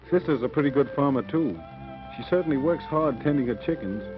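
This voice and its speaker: Music plays in the background while a man talks at a fairly quick pace. His medium pitch has lively intonation. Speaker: film narrator. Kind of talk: documentary narration.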